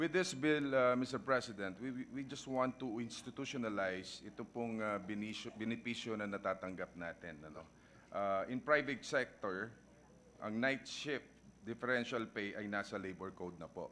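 A man in a Filipino accent speaks at a moderate pace and medium pitch, with a bright, sharp tone, ordinary pitch variation and big swings in loudness over light background noise. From Philippines. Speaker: senator. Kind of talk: legislative debate. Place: hall. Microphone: podium.

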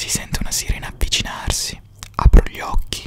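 Whispering and soft-spoken, a man talks at a moderate pace, the sound dry with no echo and light background noise behind him. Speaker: narrator, storyteller. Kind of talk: narrative reading, audiobook-like. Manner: soft close-mic whisper. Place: home room. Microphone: studio mic.

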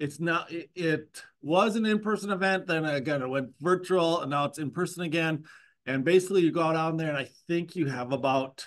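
The speech comes at a fairly quick pace over a quiet background. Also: man, ordinary pitch variation. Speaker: university instructor. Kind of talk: lecture announcement. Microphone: video call.

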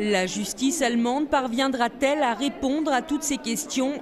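Over noticeable background noise, a woman with a high voice talks at a fairly slow pace. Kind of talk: news reading. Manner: formal, measured; steady, neutral delivery.

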